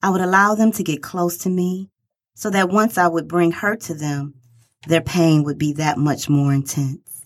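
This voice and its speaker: At a moderate pace, a woman uses a normal speaking voice with a fairly low pitch and ordinary pitch variation, on a very clean recording with a silent background. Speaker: dancer and singer. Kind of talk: dramatic monologue reading.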